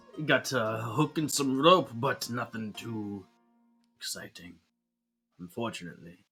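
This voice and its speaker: A raspy, gravelly put-on character voice speaks with long, frequent pauses. Faint music plays in the background. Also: man, medium pitch for a man, moderate pace. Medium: actual play. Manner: gruff, earnest.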